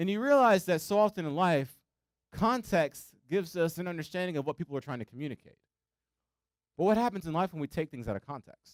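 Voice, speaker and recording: The delivery is very fast and animated, with lively intonation. The recording is very clean with a silent background and a dry, close sound with no echo. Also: man, high pitch for a man. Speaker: student pastor. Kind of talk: sermon. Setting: church.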